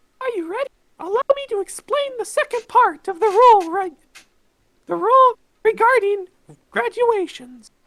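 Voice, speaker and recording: In a squeaky, put-on character voice pitched extremely high, the speaker leaves long, frequent pauses. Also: moderate pace. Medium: fan dub. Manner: taunting, gleeful, theatrical.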